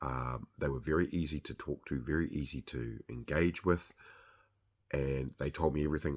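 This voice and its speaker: The speaker has a New Zealand accent, vocal fry and ordinary pitch variation. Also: man. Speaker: podcast host. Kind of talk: product review monologue. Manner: casual with frequent fillers.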